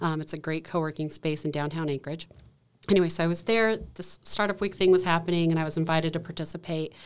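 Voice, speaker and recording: A woman's very fast, fairly even delivery in a very clean recording with a silent background. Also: fairly low pitch for a woman. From Alaska (Valdez). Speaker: entrepreneur, startup week organizer. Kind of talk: casual interview. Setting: studio.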